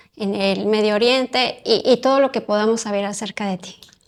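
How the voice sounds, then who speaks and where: A woman speaks with a Mexican accent. Her pitch is fairly high. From Mexico. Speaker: podcast host, psychotherapist. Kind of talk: interview conversation.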